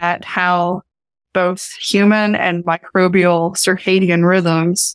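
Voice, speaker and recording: With an American accent, a woman talks at a very slow pace and medium pitch, the sound dry and close with no echo. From Eastern Kentucky, Appalachia. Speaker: professor and microbiology researcher. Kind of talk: interview conversation.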